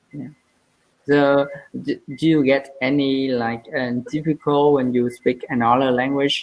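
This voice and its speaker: The speaker talks at a fairly slow pace in a Vietnamese accent, with monotone, flat intonation. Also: woman, very deep, low pitch for a woman. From southern Vietnam. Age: 20s. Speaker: English learner. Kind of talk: language lesson. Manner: halting.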